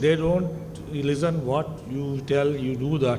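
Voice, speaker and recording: A man talks with fairly even intonation. The room echo is audible. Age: 60s. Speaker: eye surgeon. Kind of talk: conference lecture.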